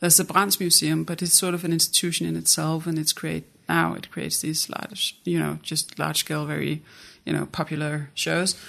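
With a Danish accent, a woman speaks at a fairly quick pace against a quiet background. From Jutland, Denmark. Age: 30s. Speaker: art institution director. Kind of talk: casual interview chat.

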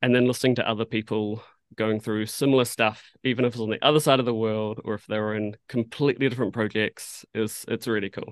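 Very fast and with hardly any pauses, a man in a New Zealand accent talks at a medium pitch with monotone, flat intonation, the sound dry and close with no echo against a quiet background. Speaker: animation art director. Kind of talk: casual interview chat. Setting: video call.

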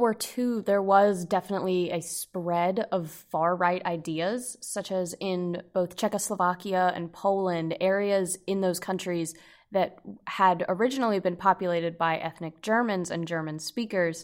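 Speaking in a normal speaking voice at medium pitch, a woman talks at a fairly slow pace with ordinary pitch variation and hardly any pauses, in a very clean recording with a silent background. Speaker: undergraduate student reporter. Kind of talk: discussion.

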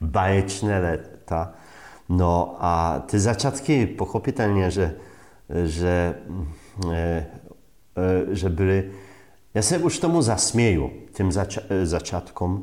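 Very slow speech in a Polish accent carries a dark, mellow tone and long, frequent pauses. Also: man. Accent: Polish accent in Czech. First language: Polish (speaking Czech). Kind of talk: casual interview. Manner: animated.

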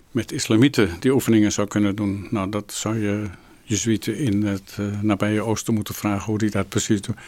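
Over a very clean recording with a silent background, a man speaks fairly quickly in a fairly low, monotone, flat voice. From Amsterdam, Netherlands. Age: 70s. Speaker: Jesuit priest and spiritual director. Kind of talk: interview. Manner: hesitant.

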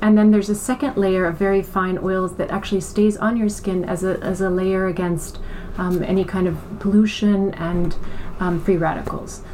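Over noticeable background noise, a woman with an American accent speaks at a medium pitch and a moderate pace, her intonation monotone and flat. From mixed: Iran, Germany, US, farm upbringing. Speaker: beauty brand co-founder. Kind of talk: interview. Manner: hesitant, many fillers and repetitions.

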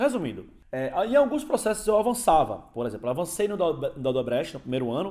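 This man's voice is high-pitched, with a dark, mellow tone. He talks fairly quickly, and his pitch swings very widely. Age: 30s. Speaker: podcast host. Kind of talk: casual monologue. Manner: casual.

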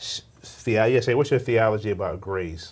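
An American-accented man with a plain, everyday voice talks at a moderate pace, his pitch fairly low with ordinary pitch variation. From Virginia, Richmond. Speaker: pastor and ministry founder. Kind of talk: interview.

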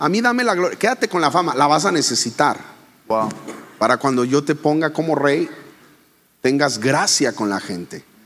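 A man with a fairly high voice speaks at a moderate pace. His pitch swings very widely, and he leaves long, frequent pauses. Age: 40s. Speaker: pastor and speaker. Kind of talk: casual interview. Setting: live audience.

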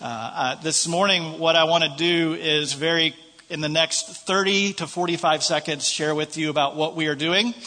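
A man with an American accent, a fairly high pitch, fairly even intonation, and a moderate pace, with noticeable background noise. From United States. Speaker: visiting preacher. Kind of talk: sermon. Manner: halting, many fillers.

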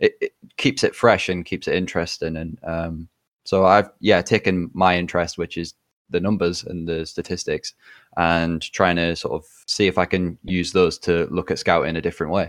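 In a dry, close sound with no echo, a man with a very deep, low pitch speaks in a monotone, flat intonation with an English accent. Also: moderate pace, very clean recording, silent background. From England. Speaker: football gaming writer. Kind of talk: casual chat.

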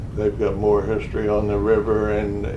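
A man speaks at a moderate pace while noticeable background noise and audible room echo fill the recording. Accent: American. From southern Illinois. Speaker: retired harbor boat operator. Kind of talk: oral history interview.

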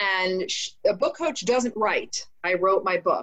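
Her intonation is lively as the woman talks in an American accent. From New Jersey, US. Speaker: mindset coach and author. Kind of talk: interview. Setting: remote call. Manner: energetic.

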